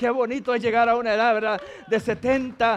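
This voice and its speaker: Amid noticeable background noise, a man speaks in an animated tone at an extremely high pitch. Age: 40s. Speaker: pastor. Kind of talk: sermon.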